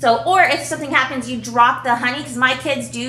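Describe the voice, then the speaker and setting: A woman speaks at a fairly quick pace. Noticeable background noise and audible room echo are present. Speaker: home video vlogger, mother. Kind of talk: casual unboxing chat.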